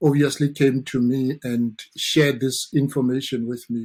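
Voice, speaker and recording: A man with a strong South African accent, a fairly high pitch, a dark, mellow tone, fairly even intonation and a fairly slow pace. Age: 40s. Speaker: dentist. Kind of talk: interview.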